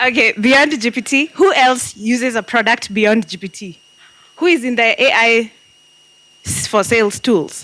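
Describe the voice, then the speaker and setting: Noticeable background noise sits behind a woman who speaks at a moderate pace with a fairly high pitch and ordinary pitch variation. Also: big swings in loudness. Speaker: marketing and AI strategist, speaker. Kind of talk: interactive talk to audience. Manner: loud; animated.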